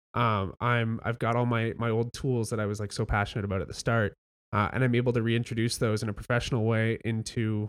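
A man with a Canadian accent talks at a very fast pace and medium pitch, with hardly any pauses. His intonation is monotone and flat, and the recording is very clean with a silent background. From Ontario (Welland). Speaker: illustrator and design studio co-owner. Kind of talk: casual chat. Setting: studio.

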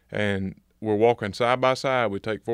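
A man with a Mississippi accent speaks at a fairly low pitch with ordinary pitch variation. The sound is dry and close with no echo, over a quiet background. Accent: Southern US (Mississippi). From US South, Natchez, Mississippi. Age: 20s. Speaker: project manager. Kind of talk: casual interview chat. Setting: studio. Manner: animated.

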